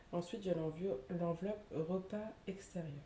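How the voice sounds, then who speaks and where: The speaker is a woman with a fairly low pitch. Her pitch variation is ordinary. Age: 30s. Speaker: budget vlogger. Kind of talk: casual talk to camera. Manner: hesitant, many filler sounds.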